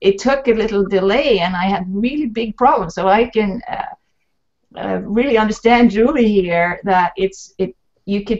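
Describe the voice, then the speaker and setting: With a Swedish accent, a woman speaks at a fairly slow pace and medium pitch, her pitch variation ordinary. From Sweden. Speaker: talk show host and author. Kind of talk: panel discussion on video call.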